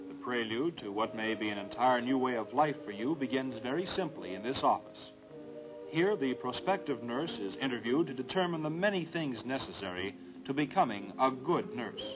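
A man at a moderate pace, with clear music in the background. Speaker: film narrator. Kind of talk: documentary narration. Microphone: old recording.

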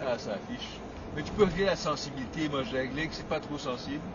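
The man's fairly quick speech has a dry sound with no echo, with noticeable background noise behind it. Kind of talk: casual chat explaining a device. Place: car.

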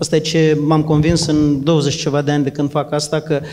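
A man's fairly quick voice, fairly high in pitch, over light background noise. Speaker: trainer and coach. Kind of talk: talk answering a question, structured explanation. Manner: structured, methodical. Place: hall. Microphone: handheld.

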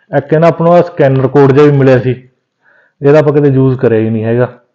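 A man talks at a fairly quick pace with a medium pitch. His tone is dark and mellow, and his intonation is fairly even.

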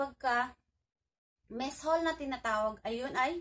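With a high pitch and ordinary pitch variation, a woman is speaking. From Philippines. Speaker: overseas worker vlogger. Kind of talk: vlog monologue. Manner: stumbling over words. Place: home room. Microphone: phone near.

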